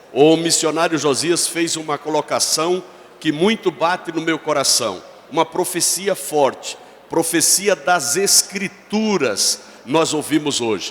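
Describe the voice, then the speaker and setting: Against noticeable background noise, a man speaks at a very slow pace, his pitch fairly high and ordinary in its variation. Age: 60s. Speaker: pastor. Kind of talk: church greeting speech. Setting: church service.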